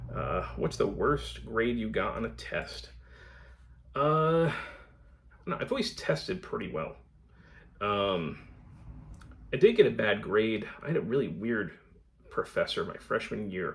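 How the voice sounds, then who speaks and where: Speaking with an American accent at a fairly slow pace, a man leaves long, frequent pauses. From Connecticut, US. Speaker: book vlogger. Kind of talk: casual vlog Q&A. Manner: halting, many fillers.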